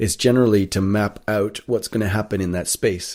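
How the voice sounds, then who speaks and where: The speaker has a North American accent and a moderate pace, with fairly even intonation. The recording is very clean, with a silent background. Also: man. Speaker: actor. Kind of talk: interview. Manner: halting, many fillers.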